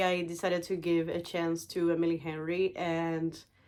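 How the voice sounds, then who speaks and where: Speaking at a medium pitch, a woman talks with a non-native accent. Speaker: book YouTuber. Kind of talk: casual vlog, book haul. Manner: animated, enthusiastic.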